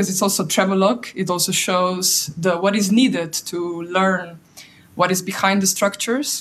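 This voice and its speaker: A woman's somewhat breathy voice sits at a medium pitch and moves at a moderate pace. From Slovenia. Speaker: PhD researcher. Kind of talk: audience question. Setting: video call.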